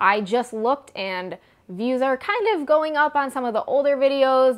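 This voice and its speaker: Lively intonation marks this woman's speech, delivered with an American accent. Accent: Midwestern accent, per others. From US Midwest. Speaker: equestrian vlogger. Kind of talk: product comparison vlog. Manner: casual, chatty.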